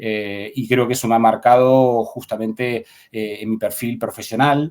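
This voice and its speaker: Speaking in a monotone at a fairly slow pace, a man with an Argentine accent keeps a medium pitch and flat intonation. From Argentina, Buenos Aires province. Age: 40s. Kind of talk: interview. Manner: halting, many fillers and repetitions.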